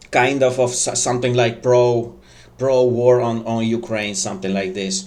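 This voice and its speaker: A man with a non-native accent, medium pitch, fairly even intonation and a moderate pace, in a room with audible echo. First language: not English. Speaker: online news commentator. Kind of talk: casual commentary. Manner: halting, many fillers.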